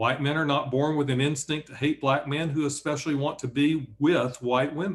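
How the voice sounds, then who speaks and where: A man speaks with a Southern US accent. His voice is somewhat breathy. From Alabama, Bessemer near Birmingham. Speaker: author and professor. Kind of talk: reading aloud. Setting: video call.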